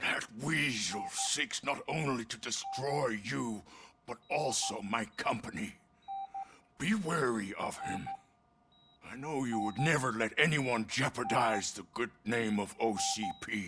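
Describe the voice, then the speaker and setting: A man's raspy put-on character voice at medium pitch, fairly slow, with lively intonation. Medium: video game. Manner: slow, frail.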